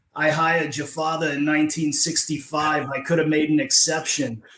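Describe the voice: A man's put-on character voice in a New York accent, raspy and fairly high-pitched, at a moderate pace with monotone, flat intonation.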